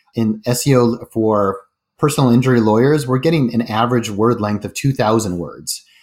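On a very clean recording with a silent background, a man with an unremarkable speaking voice and a General American accent talks at a medium pitch and a moderate pace with ordinary pitch variation. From Colorado (Denver). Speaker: startup CEO. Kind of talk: interview.

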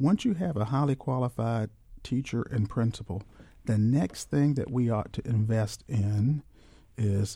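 A man speaks at a moderate pace and a medium pitch, his tone dark and mellow. His voice is somewhat breathy, with ordinary pitch variation. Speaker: school superintendent. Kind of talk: radio interview. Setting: studio. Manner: formal.

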